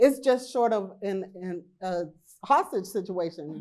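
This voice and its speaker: A woman's dark, mellow tone at a very slow pace. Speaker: HR professional. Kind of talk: conference talk. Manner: halting.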